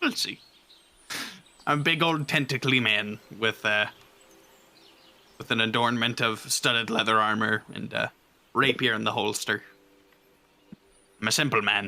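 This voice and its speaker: A man speaks in a put-on character voice at medium pitch with ordinary pitch variation. His speech has long, frequent pauses. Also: moderate pace. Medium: actual play.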